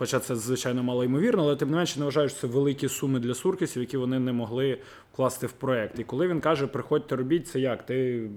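The speaker has a plain, everyday voice. There is nothing unusual about how its pitch moves. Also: man. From Kyiv, Ukraine. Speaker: football fan. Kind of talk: casual podcast discussion.

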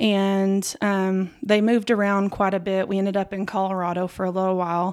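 Over a silent background in a very clean recording, a woman at a medium pitch speaks fairly quickly with monotone, flat intonation. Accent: West Texas. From West Texas, Lubbock. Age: 30s. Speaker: home health therapist. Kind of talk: testimony.

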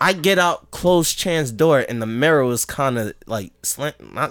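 The tone is animated as a man talks. He uses lively intonation. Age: 20s. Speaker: podcast co-host. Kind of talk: casual chat. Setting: studio.

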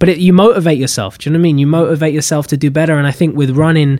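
A man's voice sits fairly high in pitch, with fairly even intonation. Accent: London. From London (Pimlico). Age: 20s. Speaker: actor. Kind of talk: casual chat.

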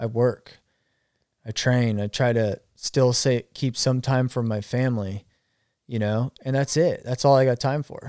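In a very clean recording with a silent background and a dry, close sound with no echo, a man with an American accent talks at a fairly slow pace, his medium pitch, dark, mellow tone and fairly even intonation holding throughout. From Arizona. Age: 40s. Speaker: cancer survivor and former line worker. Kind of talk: casual chat.

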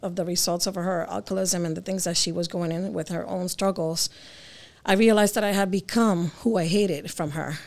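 A woman with an ordinary speaking voice talks at a medium pitch and a fairly quick pace with fairly even intonation, on a very clean recording with a silent background. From Connecticut, Puerto Rican family. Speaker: benefits administrator at a church office. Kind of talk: personal testimony.

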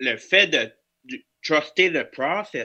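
A quiet background sits behind a bright, sharp tone. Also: man. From northeastern New Brunswick, Canada (Acadian). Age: 20s. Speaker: hospital security officer and podcaster. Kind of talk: casual chat.

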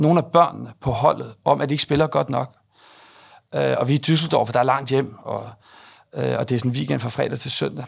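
A very clean recording with a silent background, featuring a man at a moderate pace. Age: 50s. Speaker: company executive. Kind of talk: interview. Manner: hesitant, many filler sounds.

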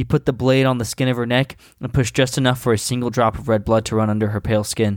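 This man speaks at a very fast pace. The recording is very clean, with a silent background. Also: medium pitch for a man. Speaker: podcast host reading stories aloud. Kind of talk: casual comedic banter and reading aloud. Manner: animated, joking, laughs often.

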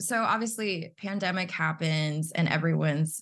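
The voice is somewhat breathy, moving at a fairly slow pace with lively intonation. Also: woman. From Texas (born in the Philippines). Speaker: podcast co-host. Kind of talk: casual chat.

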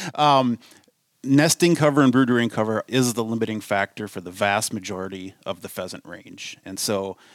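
In a Minnesotan accent, a man speaks with ordinary pitch variation in a dry, close sound with no echo. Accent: Minnesota. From US Midwest. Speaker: conservation director. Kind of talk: casual interview chat. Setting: studio.

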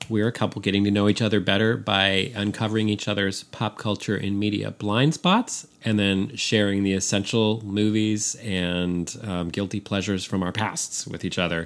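This is a plain, everyday voice at a moderate pace. Its intonation is fairly even, with hardly any pauses. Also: man, fairly low pitch for a man. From San Francisco, US. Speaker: podcast co-host. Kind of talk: casual chat.

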